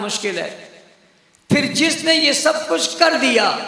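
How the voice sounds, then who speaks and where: This man talks in a raised, projected voice with ordinary pitch variation. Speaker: Islamic preacher delivering a sermon. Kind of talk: passionate religious sermon to a live audience. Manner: emphatic, rhetorical, call-and-response with the crowd.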